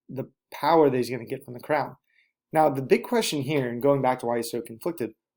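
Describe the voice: This is plain reading aloud with ordinary pitch variation. The background is quiet.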